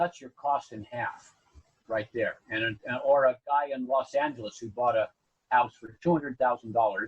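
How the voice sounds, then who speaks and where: A man with an American accent speaks at a moderate pace and a medium pitch, somewhat breathy, with ordinary pitch variation and big swings in loudness. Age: 80s+. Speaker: builder and publisher. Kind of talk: interview. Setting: podcast. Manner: halting.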